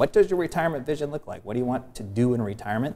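Speaking very fast, a man varies his pitch in an ordinary way. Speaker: guest. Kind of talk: interview answer. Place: studio. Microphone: lapel.

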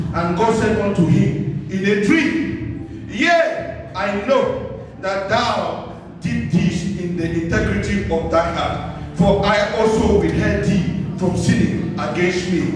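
Speaking at a very slow pace with hardly any pauses, the voice carries strong room echo and noticeable background noise. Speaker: preacher. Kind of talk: sermon. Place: church. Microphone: camera far.

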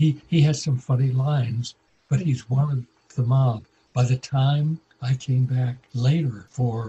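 With an American accent, a man speaks at medium pitch in a dark, mellow, somewhat breathy tone and fairly even intonation. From Iowa, USA. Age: 90s. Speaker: television director. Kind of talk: interview answer.

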